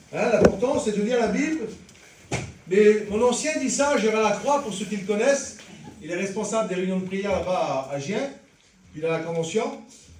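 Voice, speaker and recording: A man with a high pitch and lively intonation, long, frequent pauses, audible room echo and noticeable background noise. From French Traveller community. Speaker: lay preacher. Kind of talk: sermon. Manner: fast.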